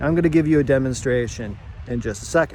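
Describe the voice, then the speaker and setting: Noticeable background noise fills the clip. Through it, a man can be heard talking. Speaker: therapist. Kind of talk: casual talk to camera. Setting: outdoors.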